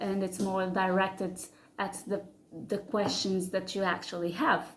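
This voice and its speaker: A woman is speaking. She has a non-native accent. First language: not English. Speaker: spiritual channel creator. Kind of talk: casual monologue to camera. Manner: halting, many fillers and repeats.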